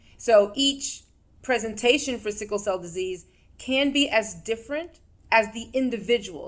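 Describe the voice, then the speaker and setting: Using a plain, everyday voice with an American accent, a woman talks at a moderate pace and a fairly high pitch with ordinary pitch variation. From New York. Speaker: physician and mental health segment host. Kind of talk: interview.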